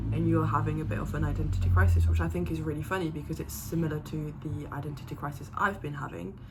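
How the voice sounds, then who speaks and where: A woman at a very fast pace with hardly any pauses, amid noticeable background noise and audible room echo. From Zimbabwe, Paris and England, mixed. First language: French. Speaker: vlogger. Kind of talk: casual chat.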